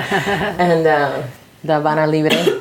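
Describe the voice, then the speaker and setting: In an American accent, a woman speaks with a very deep, low pitch, with noticeable background noise and audible room echo around her. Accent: American English, Miami Cuban American. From Miami, Florida (Cuban American). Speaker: film director. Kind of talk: interview chat.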